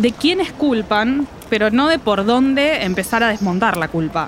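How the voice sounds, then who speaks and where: A woman with a Rioplatense accent speaks at a fairly slow pace in a fairly high voice, with very wide pitch swings. Noticeable background noise sits behind her. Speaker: podcast host. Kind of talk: scripted podcast narration.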